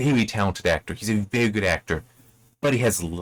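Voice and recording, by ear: Someone reads aloud, using a natural voice.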